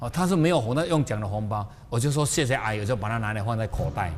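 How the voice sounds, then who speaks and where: Audible room echo surrounds a man's medium-pitched, somewhat breathy voice. His tone is animated and his intonation lively. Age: 60s. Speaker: spiritual teacher. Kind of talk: lecture.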